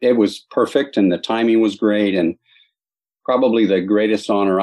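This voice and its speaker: A man with an American accent, at a moderate pace with fairly even intonation. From Southern California, Los Angeles area. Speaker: army veteran, retired chaplain sergeant major. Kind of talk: interview testimony.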